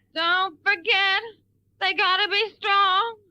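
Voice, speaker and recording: In a cartoonish character voice that sounds female, the speaker uses an extremely high pitch and a whiny tone, with monotone, flat intonation at a fairly slow pace. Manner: petulant, whiny.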